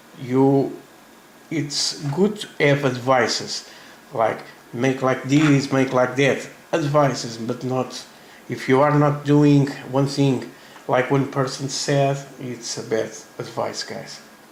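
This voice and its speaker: At a very slow pace with long, frequent pauses, a man of medium pitch speaks with fairly even intonation, with audible room echo and noticeable background noise. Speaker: scale modeler. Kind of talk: tutorial. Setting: live stream from a hobby store. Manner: halting.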